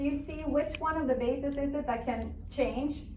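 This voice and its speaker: A woman with a high-pitched voice speaks fairly slowly with fairly even intonation. Noticeable background noise and audible room echo fill the recording. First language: not English. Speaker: biology teacher. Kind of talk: lecture. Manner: conversational, questioning students.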